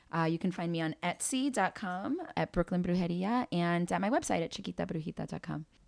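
A fairly quick pace with hardly any pauses, an American accent and ordinary pitch variation, in a very clean, dry, close recording with no echo and a silent background. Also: woman, fairly low pitch for a woman. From New York City (Spanish Harlem). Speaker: spiritual practitioner and event producer. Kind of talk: interview.

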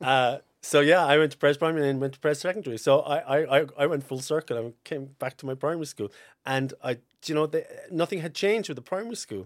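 A man with a strong Cork accent talks very fast at fairly high pitch, with ordinary pitch variation. The sound is dry and close with no echo, on a very clean recording with a silent background. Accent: Cork Irish, fairly strong. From North Cork, Ireland. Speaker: estate agent. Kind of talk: casual interview chat. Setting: studio. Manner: laid-back, chatty, laughs often.

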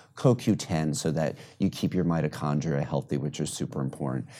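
A man's very deep, low voice with a dark, mellow tone and vocal fry, in an American accent at a fairly quick pace with ordinary pitch variation. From New York City. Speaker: physician. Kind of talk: interview.

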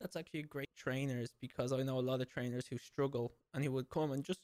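At a fairly quick pace, a man of medium pitch speaks with fairly even intonation in a dry, close sound with no echo. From Ireland. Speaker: podcast host and fitness trainer. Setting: video call across time zones.

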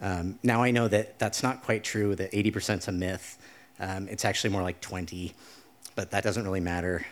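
At a moderate pace, a man with an American accent and a fairly low pitch uses fairly even intonation in a normal speaking voice. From Idaho. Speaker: storyteller. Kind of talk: live storytelling. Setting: stage with audience.

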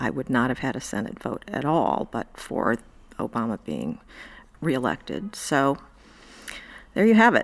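Speaking at a moderate pace with an American accent, a woman shows very wide pitch swings, big swings in loudness, vocal fry and long, frequent pauses. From US Midwest, Indiana. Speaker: federal judge. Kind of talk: interview.

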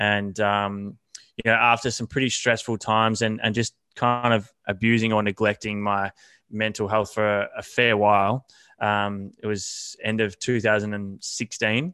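In a fairly slow, monotone delivery, a man with an Australian accent speaks in a fairly low, bright and sharp voice on a very clean recording with a silent background. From Australia, country Victoria. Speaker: fitness coach. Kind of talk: podcast interview. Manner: halting, many fillers.

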